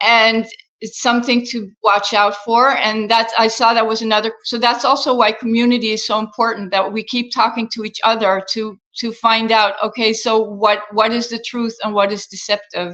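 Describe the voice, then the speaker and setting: A woman speaks at a moderate pace. Her fairly high voice has monotone, flat intonation. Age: 60s. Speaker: health and wellness coach. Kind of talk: interview.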